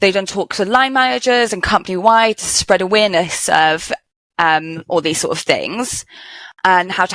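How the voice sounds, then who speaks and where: A woman with a Welsh accent speaks in a medium pitch with lively intonation. Her pace is moderate, and the recording is very clean with a silent background. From Wales. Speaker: geoenvironmental engineer. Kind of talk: podcast interview. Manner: loud.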